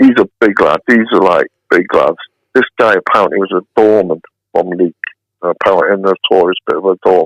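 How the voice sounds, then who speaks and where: A man's voice with a Mancunian accent, dry and close with no echo. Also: fairly quick pace. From Hyde, Greater Manchester, northern England. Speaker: interview guest telling life story. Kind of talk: casual podcast interview. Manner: animated.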